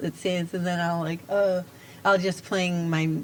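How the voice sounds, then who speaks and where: In an American accent, a woman speaks at a fairly low pitch. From US Northeast, Providence, Rhode Island. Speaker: folk musician. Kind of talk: interview. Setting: live stream venue open to the public.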